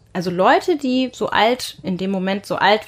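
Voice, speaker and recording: A woman with a medium pitch speaks in a plain, everyday voice at a moderate pace with ordinary pitch variation, on a very clean recording with a silent background. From Germany, North Rhine-Westphalia. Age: 20s. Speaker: journalist. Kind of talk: interview.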